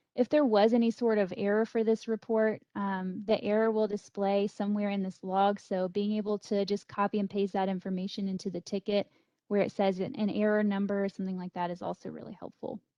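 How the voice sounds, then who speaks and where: A woman speaks at a fairly quick pace, with hardly any pauses, at a medium pitch. Her intonation is monotone and flat. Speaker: data systems trainer. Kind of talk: software tutorial webinar. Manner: fast.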